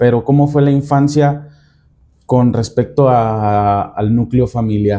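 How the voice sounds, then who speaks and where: A man with a medium-pitched, dark, mellow voice speaks very slowly, with ordinary pitch variation and very even loudness. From central Mexico (Guanajuato). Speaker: podcast host. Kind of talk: interview conversation.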